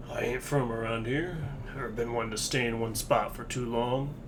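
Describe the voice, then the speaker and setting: A man's put-on character voice at medium pitch and moderate pace, over loud background noise. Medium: game stream. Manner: gruff, folksy drawl.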